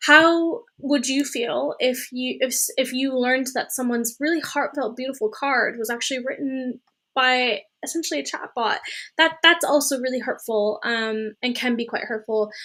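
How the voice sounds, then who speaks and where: Projecting her voice, a woman speaks at a moderate pace with high pitch, a bright, sharp tone and ordinary pitch variation, recorded very cleanly against a silent background. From Germany. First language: German. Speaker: astrophysics PhD candidate and software engineer. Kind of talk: Q&A interview. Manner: hesitant, many fillers.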